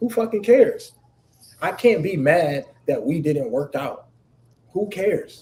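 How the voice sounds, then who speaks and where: This man speaks at a fairly slow pace, with long, frequent pauses. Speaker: livestream host. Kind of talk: heated debate. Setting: live stream. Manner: loud.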